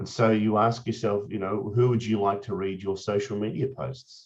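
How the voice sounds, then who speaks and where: Talking at a moderate pace, a man speaks in an Australian accent. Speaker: Rotarian presenter on social media. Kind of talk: presentation. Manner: casual, with frequent fillers and repetitions.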